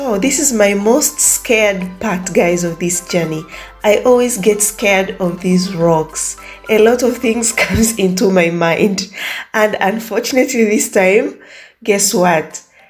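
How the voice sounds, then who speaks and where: Music plays in the background as a woman speaks. Her pace is fairly slow, with ordinary pitch variation. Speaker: travel vlogger. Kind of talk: casual vlog chat. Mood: awed, then nervous. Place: car.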